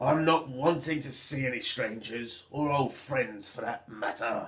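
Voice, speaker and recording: Using a raspy, put-on character voice, a man speaks at a moderate pace and a medium pitch. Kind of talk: storybook pirate. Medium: read story. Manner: gruff, blustering.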